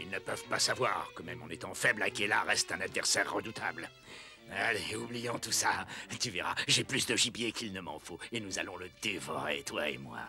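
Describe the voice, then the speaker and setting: Over clear background music, a man performs a cartoonish character voice. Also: fairly low pitch for a man, moderate pace. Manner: commanding, two-faced.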